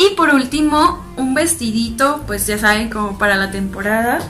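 Cheerful, upbeat tone from a woman, high-pitched with lively intonation at a fairly slow pace, faint music in the background. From Tijuana, Baja California, Mexico. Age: 20s. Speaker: fashion and beauty YouTuber. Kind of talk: casual talk to camera. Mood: cheerful, enthusiastic. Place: home room.

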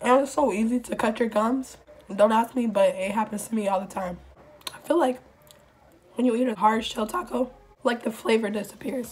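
The pace is moderate, with ordinary pitch variation. Long pauses come often. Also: woman. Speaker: vlogger. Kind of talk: casual mukbang vlog chat. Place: home room. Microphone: phone near.

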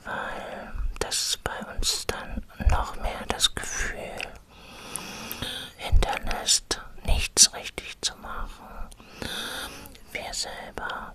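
A soft-spoken whisper at a very slow pace, broken by long, frequent pauses, over noticeable background noise. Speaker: vlogger sharing personal experience. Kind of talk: casual vlog chat. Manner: soft close-mic whisper. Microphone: studio mic.

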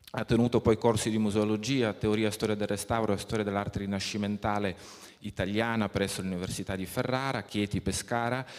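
Against a quiet background, a man with a fairly low pitch uses an ordinary speaking voice, talking at a fairly quick pace with fairly even intonation. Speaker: event moderator. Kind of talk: formal introduction. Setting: stage with audience. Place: hall. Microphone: handheld.

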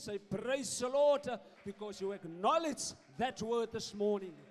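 The speech comes fairly slowly. A man talks with ordinary pitch variation.

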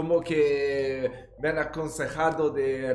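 Over faint music and audible room echo, a man with a strong Italian accent speaks at a fairly high pitch with ordinary pitch variation. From Italy. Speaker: YouTube reaction host. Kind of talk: casual talk to camera, reaction commentary. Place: home room.

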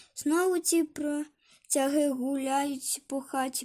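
A woman speaks in a high voice at a very slow pace. Her intonation stays flat and monotone. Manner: grumbling.

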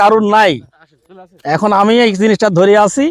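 A man speaks with a high-pitched voice. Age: 60s. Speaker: farmer. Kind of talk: interview.

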